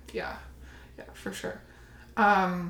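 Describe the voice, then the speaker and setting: In a Canadian accent, a woman speaks at a fairly slow pace with monotone, flat intonation against noticeable background noise. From Windsor, Ontario, Canada. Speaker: shadow work practitioner. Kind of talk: casual interview.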